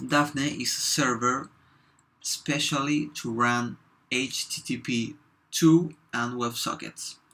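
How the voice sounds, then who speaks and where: On a very clean recording with a silent background, a man with a Spanish accent speaks at a very slow pace in a bright, sharp tone, his pitch medium and his intonation fairly even. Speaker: software developer. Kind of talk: tutorial. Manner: halting, with fillers.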